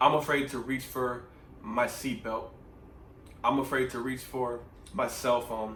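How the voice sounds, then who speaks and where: A man talks at medium pitch, leaving long, frequent pauses. Audible echo fills the room around him. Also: fairly even intonation, fairly slow pace. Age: young. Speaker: vlogger. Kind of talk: personal testimony. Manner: earnest, emphatic.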